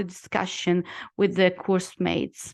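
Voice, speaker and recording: A woman speaks with an Italian accent. The background is quiet. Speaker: lawyer and former student. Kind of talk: testimonial talk in a webinar. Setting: online webinar. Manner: halting, many fillers.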